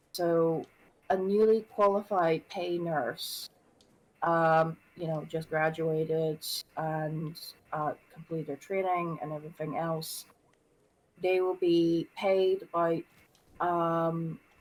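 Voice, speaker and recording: Speaking very slowly with long, frequent pauses, a woman uses a fairly low pitch. Her intonation is fairly even. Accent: Northern Irish. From Northern Ireland. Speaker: nurse. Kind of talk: casual chat. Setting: voice call on a livestream. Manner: halting, many fillers.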